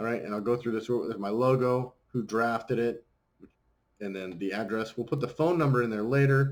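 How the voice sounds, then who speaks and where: Ordinary pitch variation in a medium-pitched male voice. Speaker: pool designer training a new drafter. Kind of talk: screen-recorded tutorial. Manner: fast; casual, upbeat.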